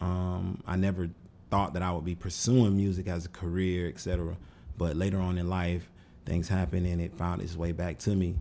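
A man with a very deep, low voice and a dark, mellow tone speaks at a fairly quick pace. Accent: American. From Florida. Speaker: musician, entrepreneur, army veteran. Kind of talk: casual interview chat. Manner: animated.

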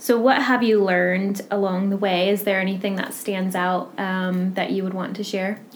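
Noticeable background noise accompanies a woman whose intonation is monotone and flat. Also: medium pitch for a woman, moderate pace. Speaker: charity office manager and podcast interviewer. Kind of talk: casual interview.

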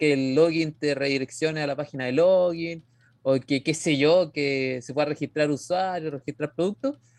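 A man with a Chilean accent speaks at a fairly high pitch and a moderate pace. His intonation is fairly even, and the sound is dry and close with no echo. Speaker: podcast host. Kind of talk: casual chat.

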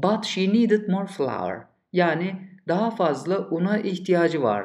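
The man speaking has a high pitch. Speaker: English teacher. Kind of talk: lecture. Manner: clear, didactic.

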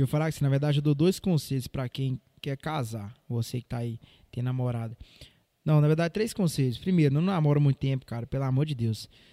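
A man with a dark, mellow tone and fairly high pitch speaks at a fairly quick pace with ordinary pitch variation. The recording is very clean with a silent background, and the sound is dry and close with no echo. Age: 20s. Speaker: church worship leader. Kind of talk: casual chat.

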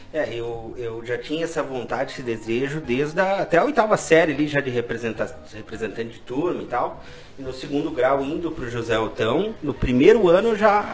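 A fairly high-pitched man with a Rio Grande do Sul accent, lively intonation, big swings in loudness, a moderate pace and noticeable background noise. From Brazil, Caxias do Sul. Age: 30s. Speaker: salesman and former political aide. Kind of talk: casual interview.

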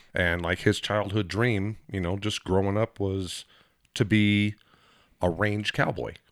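In an ordinary speaking voice, a man talks at a fairly slow pace and fairly low pitch. His intonation is fairly even, and the recording is very clean with a silent background. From Southern California, Lakeside. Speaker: podcast guest. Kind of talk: casual chat. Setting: studio.

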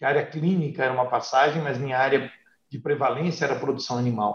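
Speaking at a fairly quick pace, a man uses a medium pitch, a somewhat breathy voice and fairly even intonation. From Brazil, Paraná (north/northwest interior). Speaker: veterinarian and animal health company executive. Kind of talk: interview.

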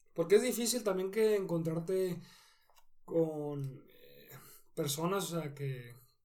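Delivered at a very slow pace in a dark, mellow tone, the speech has ordinary pitch variation and big swings in loudness, with audible room echo. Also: man, high pitch for a man. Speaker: professional cyclist. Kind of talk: interview.

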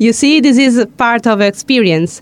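A woman speaks at a moderate pace with an Italian accent. Her pitch varies in an ordinary way. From southern Italy. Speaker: radio host. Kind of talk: radio interview.

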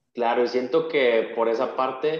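Monotone, flat intonation from a man with a mid-range pitch. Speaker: podcast host and German teacher. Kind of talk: casual interview chat.

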